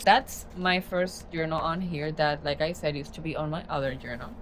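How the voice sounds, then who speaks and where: A woman speaks fairly quickly at a fairly low pitch in a Spanish accent. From Spanish-speaking country. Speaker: journaling and book content creator. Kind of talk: casual vlog tutorial. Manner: casual, conversational with fillers.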